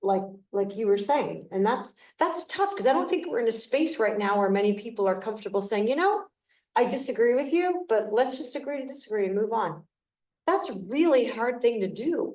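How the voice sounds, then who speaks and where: The speech is loud and fairly quick, with very wide pitch swings. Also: woman, fairly high pitch for a woman. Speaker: panelist. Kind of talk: panel discussion. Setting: live event with audience and zoom.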